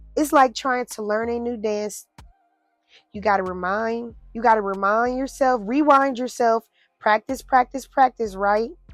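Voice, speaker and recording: A woman at a fairly high pitch with ordinary pitch variation and a fairly slow pace, big swings in loudness, a dry, close sound with no echo, and music in the background. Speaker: faith podcast host. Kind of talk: heartfelt monologue. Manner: halting, stuttering; emotional, animated.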